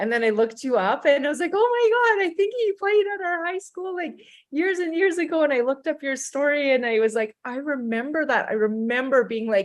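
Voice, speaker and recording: A woman with a Canadian accent speaks at a high pitch and a fairly quick pace. She barely pauses, and her pitch swings very widely. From Alberta, Canada. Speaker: panel guest. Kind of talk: casual chat.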